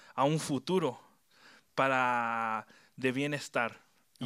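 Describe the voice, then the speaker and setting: A man with a Chilean accent speaks at a medium pitch in a bright, sharp tone with fairly even intonation, on a very clean recording with a silent background. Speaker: youth preacher. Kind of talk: sermon. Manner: mixes Spanish and English.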